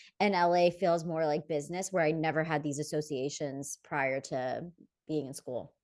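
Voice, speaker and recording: Against a quiet background, a woman speaks at a moderate pace with a fairly low pitch. She has an unremarkable speaking voice. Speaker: podcast co-host. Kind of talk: casual chat.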